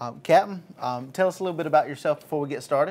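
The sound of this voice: Speaking fast, a man uses a fairly high pitch, a slightly mellow tone and ordinary pitch variation.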